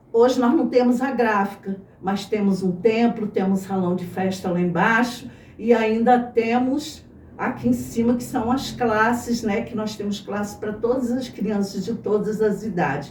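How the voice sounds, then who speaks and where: Speaking fairly slowly, a woman uses a fairly high pitch with ordinary variation. Audible room echo and noticeable background noise surround her. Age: 60s. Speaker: church member, former teacher. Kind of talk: testimony.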